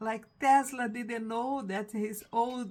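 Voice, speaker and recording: A woman speaks at a very slow pace. Her pitch is fairly high. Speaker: reading a book aloud online.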